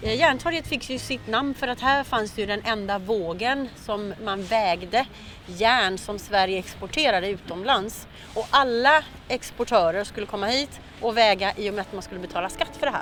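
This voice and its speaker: Over music in the background, a woman of medium pitch speaks at a moderate pace with lively intonation. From Sweden and Venezuela. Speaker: tour guide. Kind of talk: casual walking tour talk. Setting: outdoors in snowy city. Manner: hesitant with frequent 'eh' fillers.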